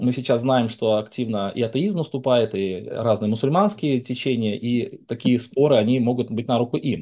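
At a moderate pace, a man with an ordinary speaking voice talks in a medium pitch with ordinary pitch variation and hardly any pauses. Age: 40s. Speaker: Baptist pastor. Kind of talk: debate.

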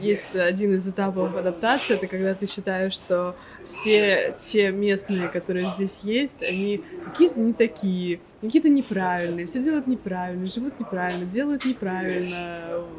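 A woman with a medium-pitched voice talks at a moderate pace over noticeable background noise. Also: ordinary pitch variation. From Russia, St Petersburg. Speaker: psychologist. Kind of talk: casual interview.

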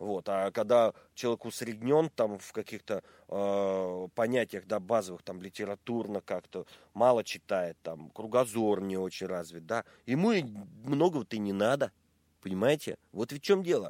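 A man with a normal speaking voice talks at a moderate pace and a fairly low pitch with ordinary pitch variation and big swings in loudness, recorded dry and close with no echo. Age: 40s. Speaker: musician. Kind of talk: casual interview.

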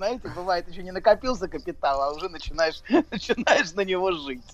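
Here a man talks at a high pitch and moderate pace. His pitch variation is ordinary. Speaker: psychologist. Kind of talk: expert commentary on radio. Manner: halting.

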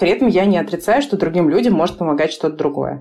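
A woman talks with lively intonation at a fairly low pitch. It is a normal speaking voice. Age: 30s. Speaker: author and co-founder of a maternal mental health project. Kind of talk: casual chat.

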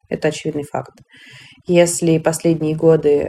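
A woman's voice sits very deep and low in pitch as she talks at a moderate pace. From Russia, Moscow. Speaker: women's rights activist, NGO founder. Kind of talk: podcast interview.

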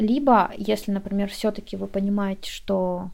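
A woman talks at a moderate pace with a medium pitch and a dark, mellow tone. The recording is very clean, with a silent background. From Russian Far East, Komsomolsk-on-Amur. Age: 20s. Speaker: beauty specialist and business owner. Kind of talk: interview.

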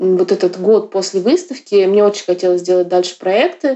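This is an unremarkable speaking voice at a moderate pace. Its pitch variation is ordinary. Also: woman. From Yakutia, Russia. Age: 30s. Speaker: artist and curator. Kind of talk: casual interview.

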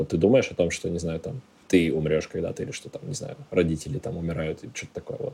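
Lively intonation marks this man's very deep, low voice. His tone is dark and mellow, and his pace is very fast. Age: 20s. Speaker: ed-tech operations director and tutor. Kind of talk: casual chat.

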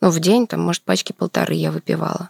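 A woman at a fairly quick pace, the sound dry and close with no echo, in a very clean recording with a silent background. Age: 30s. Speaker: midwife and dancer. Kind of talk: interview about personal illness.

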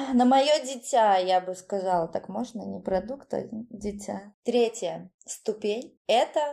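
This woman talks at a very slow pace in a medium pitch with a dark, mellow tone. Her intonation is lively, and her loudness swings widely. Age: 30s. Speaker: beautician and dance teacher, course founder. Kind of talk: casual interview.

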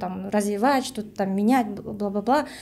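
Speaking with a Kyrgyz accent, a woman uses a fairly high pitch, ordinary pitch variation and a moderate pace. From Kyrgyzstan. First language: Kyrgyz (speaking Russian). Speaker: language activist, project creator. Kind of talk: podcast discussion.

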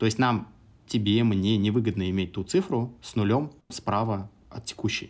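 A man with a normal speaking voice and medium pitch talks at a fairly slow pace with ordinary pitch variation. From Samara region, Russia. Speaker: entrepreneur. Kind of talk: casual interview.

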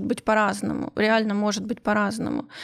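In a plain, everyday voice, a woman speaks at a fairly high pitch and a fairly quick pace, with a dry, close sound and no echo. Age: 30s. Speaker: podcast host, guest. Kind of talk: casual chat. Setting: studio.

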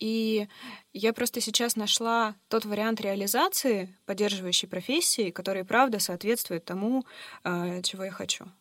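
An ordinary speaking voice from a woman, fairly high in pitch with ordinary pitch variation, at a moderate pace in a very clean recording with a silent background. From Russia, Yekaterinburg. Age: 30s. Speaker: life coach, former HR professional. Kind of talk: interview conversation.

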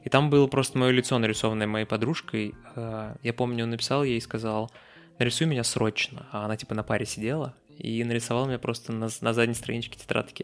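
A man talks at a very fast pace with fairly even intonation. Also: medium pitch for a man. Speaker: podcast host, guest. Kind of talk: casual chat. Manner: talkative, informal.

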